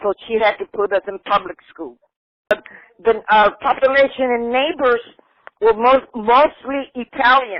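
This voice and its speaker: Her pitch fairly high and ordinarily varied, a woman speaks at a fairly slow pace. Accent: Spanish. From Tampa, Florida (born in Cuba, moved at six). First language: Spanish. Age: 70s. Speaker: grandmother telling family history. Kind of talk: oral history interview. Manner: halting, with restarts.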